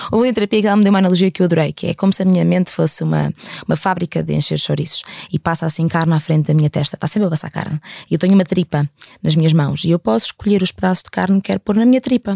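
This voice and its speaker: A woman talks at a very fast pace and medium pitch with a dark, mellow tone. The sound is dry and close with no echo. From Portugal, Algarve. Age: 20s. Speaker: interviewee sharing lived experience of OCD. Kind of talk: testimony.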